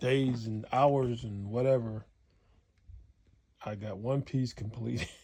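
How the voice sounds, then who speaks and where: A man with medium pitch and a dark, mellow, somewhat breathy tone talks at a very slow pace with long, frequent pauses. His intonation is fairly even, while his loudness swings widely. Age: 70s. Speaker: upholsterer. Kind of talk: casual workshop talk to camera. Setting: home upholstery shop.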